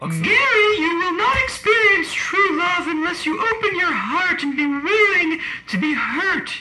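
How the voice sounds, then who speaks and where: A female-sounding, put-on character voice speaks at a moderate pace with an extremely high pitch. There is audible echo. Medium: stage play.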